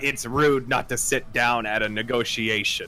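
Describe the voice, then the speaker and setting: A man's put-on character voice, rumbling and raspy, at medium pitch and a moderate pace, with clear background noise. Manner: grumbling, stern.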